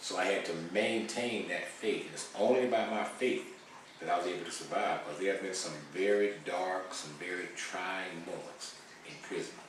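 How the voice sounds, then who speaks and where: The speech comes at a moderate pace with fairly even intonation, over audible room echo and noticeable background noise. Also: man, fairly low pitch for a man. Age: 60s. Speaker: former prisoner, founder of reentry organization. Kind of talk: interview testimony. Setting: studio.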